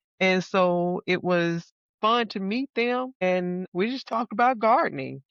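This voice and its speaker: Speaking in a Southern US accent, a woman uses a medium pitch with ordinary pitch variation at a fairly slow pace. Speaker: gardener and YouTuber. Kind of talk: casual chat.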